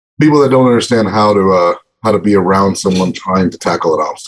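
Speaking at a very fast pace, a man with an American accent shows ordinary pitch variation. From northeastern Texas. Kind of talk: casual chat. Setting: video call.

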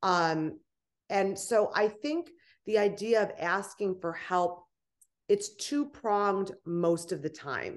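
A woman talks at a very slow pace with ordinary pitch variation. The background is quiet. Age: 30s. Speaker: author and personal growth strategist. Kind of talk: interview.

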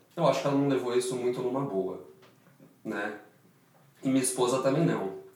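Amid noticeable background noise and audible room echo, a man at a medium pitch talks at a fairly quick pace with ordinary pitch variation. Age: 30s. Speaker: orthopedic surgeon and startup founder. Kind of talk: interview.

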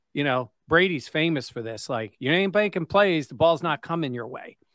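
A man with an unremarkable speaking voice talks at a moderate pace, fairly high in pitch, with lively intonation. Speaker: sports podcast host. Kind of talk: casual sports discussion.

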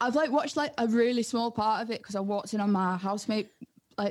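A woman talks at a very fast pace. Her fairly high pitch shows ordinary pitch variation. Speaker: music producer and DJ. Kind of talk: casual podcast interview.

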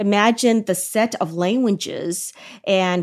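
The recording is very clean with a silent background. A woman speaks at medium pitch with ordinary pitch variation. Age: 40s. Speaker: influencer marketing executive. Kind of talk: interview about personal experience.

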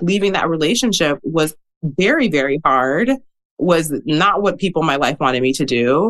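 A woman in an American accent has an unremarkable speaking voice, pitched fairly low with lively intonation. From US Midwest, Milwaukee, Wisconsin. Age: 30s. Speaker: author and educator. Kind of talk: interview.

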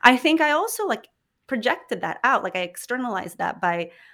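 A woman with an American accent speaks at a fairly quick pace, her pitch fairly high and her intonation lively. Her tone is bright and sharp, and the recording is very clean with a silent background. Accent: American-sounding English. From Philippines. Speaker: journalist and podcast host. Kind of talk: interview conversation.

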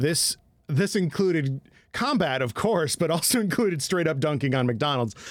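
An unremarkable speaking voice from a man at a moderate pace, with ordinary pitch variation, on a very clean recording with a silent background. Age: 30s. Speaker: comedy podcast co-host. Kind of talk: casual chat.

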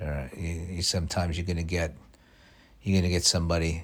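In a very clean recording with a silent background, a man with a very deep, low voice sounds somewhat breathy. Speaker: podcast host. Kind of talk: casual solo monologue. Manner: halting, repeats words.

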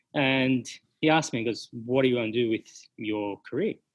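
A man with an Australian accent speaks at a medium pitch and a fairly quick pace. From Sydney, Australia. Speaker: hospitality business owner. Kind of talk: interview conversation.

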